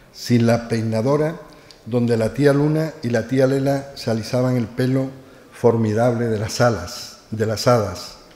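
There is audible room echo around a man speaking at a medium pitch. His intonation is fairly even and his pace fairly slow. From Seville, Spain; Spain. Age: 60s. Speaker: doctor and author. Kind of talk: reading aloud from own book. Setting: live event with audience. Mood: nostalgic, lyrical. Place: hall. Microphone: podium.

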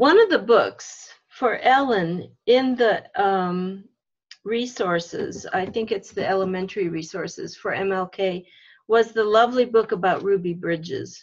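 A woman at a fairly slow pace, her intonation lively. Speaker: religious education facilitator. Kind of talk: video call workshop facilitation. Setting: video call. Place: home room. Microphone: video call.

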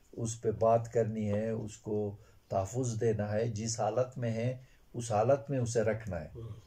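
Speaking at a fairly slow pace, a man has a dark, mellow tone, a somewhat breathy sound and fairly even intonation. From Gulmit, Hunza, Gilgit-Baltistan, Pakistan; Gilgit-Baltistan, Pakistan. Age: 60s. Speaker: retired school teacher. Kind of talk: interview. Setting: on location. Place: home room.

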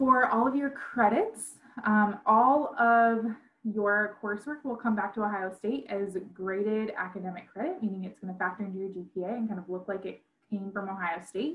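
A woman speaks at a moderate pace with ordinary pitch variation. Her voice is somewhat breathy. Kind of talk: information session presentation. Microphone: video call.

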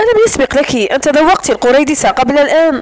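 The delivery has a dramatic tone, with noticeable background noise underneath. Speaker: audiobook narrator. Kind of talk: audiobook reading of a romance novel. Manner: measured, dramatic narration, shifting between characters.

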